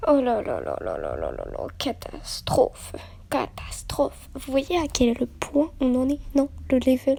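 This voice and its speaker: Soft-spoken and very slow, a woman talks with big swings in loudness. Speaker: youtuber. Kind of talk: casual vlog intro.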